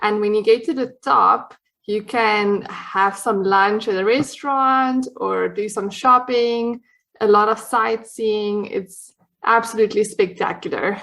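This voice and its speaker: Fairly slow and bright, sharp in tone, a woman speaks with a South African accent. Her pitch is fairly high, with ordinary pitch variation. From South Africa, Cape Town. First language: Afrikaans. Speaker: dietitian, podcast guest. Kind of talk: casual interview chat. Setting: podcast recording.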